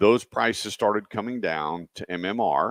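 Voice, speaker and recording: A man with an American accent speaks in an ordinary speaking voice, his pitch fairly low and its variation ordinary, on a very clean recording with a silent background and a dry, close sound with no echo. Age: 60s. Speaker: radio host. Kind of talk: radio talk show.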